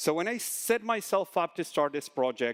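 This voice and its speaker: Speaking with a Spanish accent, a man moves at a fairly quick pace with lively intonation. The sound is dry and close, with no echo. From Argentina. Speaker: conference speaker, solutions engineer. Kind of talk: conference talk. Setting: stage with audience. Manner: animated, talks with hands.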